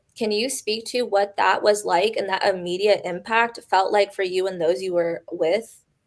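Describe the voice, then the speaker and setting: This is a normal speaking voice with fairly even intonation. It moves at a moderate pace with hardly any pauses. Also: woman, medium pitch for a woman. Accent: American. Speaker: podcast host. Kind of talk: interview conversation.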